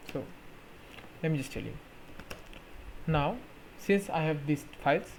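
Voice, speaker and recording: Over noticeable background noise, a man with a non-native accent speaks at a moderate pace in a fairly high pitch with ordinary pitch variation. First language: not English. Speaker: tech YouTuber. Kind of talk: tutorial. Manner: halting, with fillers.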